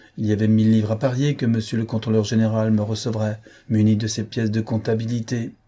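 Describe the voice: Someone reads aloud plainly.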